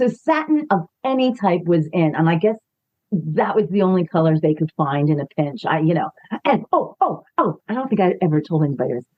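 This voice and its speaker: With a New York accent, a woman talks at a fairly quick pace in a fairly low pitch, her voice making very wide pitch swings. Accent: New York accent, noticeable. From New York City, the Bronx. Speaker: actress. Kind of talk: interview.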